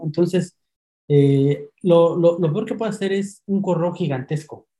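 Pitched high, this man's voice varies in an ordinary way. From Mexico City. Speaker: email marketing copywriter. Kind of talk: interview. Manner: halting, repeats words.

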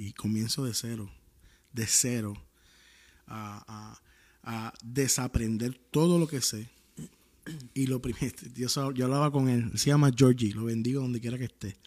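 A man with a Puerto Rican accent speaks at a fairly slow pace, using ordinary pitch variation and long, frequent pauses. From Puerto Rico. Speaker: worship singer and former pastor. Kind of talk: casual interview chat.

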